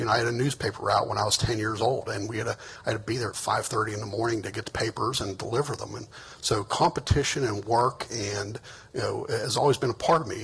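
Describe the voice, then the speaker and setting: Noticeable background noise sits behind a man speaking at a very fast pace. He has an American accent, a medium pitch and ordinary pitch variation. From Pittsburgh, western Pennsylvania. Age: 60s. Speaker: political candidate. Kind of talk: closing statement at candidate forum. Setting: stage with audience. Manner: halting, many fillers.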